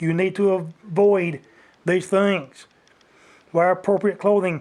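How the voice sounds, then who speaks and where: A man talks loudly at a high pitch. His intonation is monotone and flat. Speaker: outdoors vlogger. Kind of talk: rant. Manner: grumpy-sounding.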